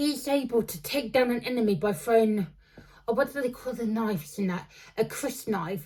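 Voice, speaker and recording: A woman speaks at a fairly high pitch, her tone dark and mellow and a little breathy. Her intonation is lively. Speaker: book reviewer. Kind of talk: casual book review monologue. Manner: halting, many fillers and restarts; slowed down on purpose.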